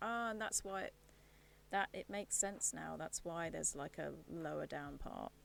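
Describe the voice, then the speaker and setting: A soft-spoken woman with a British accent. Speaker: streamer. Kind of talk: casual chat. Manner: thinking aloud.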